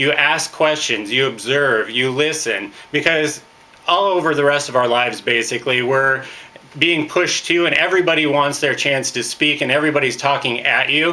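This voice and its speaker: A man's fairly high-pitched voice over noticeable background noise. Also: ordinary pitch variation, moderate pace. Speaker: network marketing trainer. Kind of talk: training talk. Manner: loud; hesitant fillers.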